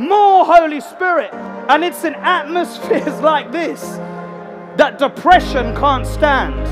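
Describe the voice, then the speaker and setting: Clear music fills the background. Over it, a man talks at a very slow pace. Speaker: evangelist, tent revival preacher. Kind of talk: live preaching and altar call at a revival meeting. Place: tent.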